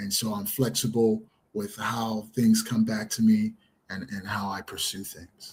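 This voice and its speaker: A man talks at a moderate pace with an American accent. His loudness swings widely from moment to moment. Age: 60s. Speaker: special education teacher. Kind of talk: podcast interview. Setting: studio. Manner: hesitant, many fillers.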